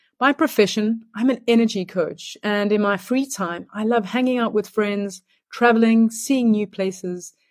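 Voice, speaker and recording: A woman with a South African accent speaks fairly slowly at a fairly high pitch. The recording is very clean, with a silent background. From Johannesburg, South Africa. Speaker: energy coach. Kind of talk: short self-introduction and answer, recorded message.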